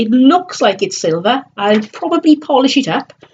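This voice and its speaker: Woman with a South Wales accent, a moderate pace, and very wide pitch swings. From South Wales valleys. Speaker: online reseller vlogger. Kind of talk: casual live stream chat. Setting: live stream on computer webcam.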